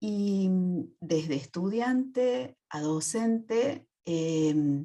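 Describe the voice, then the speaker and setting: A dark, mellow tone carries very wide pitch swings. The pace is very slow. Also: woman, fairly low pitch for a woman. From Argentina, Córdoba. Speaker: psychoanalyst and university lecturer. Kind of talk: audience question. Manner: halting.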